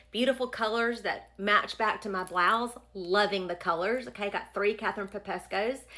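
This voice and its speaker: In a bright, sharp tone, a woman with an American accent talks with hardly any pauses. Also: medium pitch for a woman, ordinary pitch variation, very clean recording, silent background. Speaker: fashion influencer. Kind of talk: casual vlog talk. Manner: fast; chatty.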